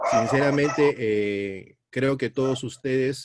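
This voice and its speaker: A man speaks at a very slow pace with ordinary pitch variation, the sound dry and close with no echo. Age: 60s. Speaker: Bible teacher. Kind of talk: sermon.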